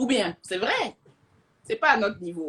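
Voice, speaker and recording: Lively intonation runs through a woman's speech. Her pitch sits in the medium range. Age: young. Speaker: social media influencer. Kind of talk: casual livestream chat. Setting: Instagram live. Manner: fast; animated.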